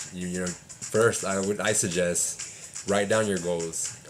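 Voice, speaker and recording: Over music in the background, a man with a very deep, low pitch talks at a fairly slow pace amid audible room echo. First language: Spanish. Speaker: English teacher and vlogger. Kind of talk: casual vlog advice. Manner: hesitant, many fillers.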